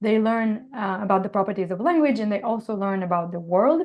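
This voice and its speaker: A woman speaks with an Israeli accent. Her pitch is medium with ordinary variation. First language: Hebrew. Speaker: computer science professor. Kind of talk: interview. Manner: hesitant, many fillers.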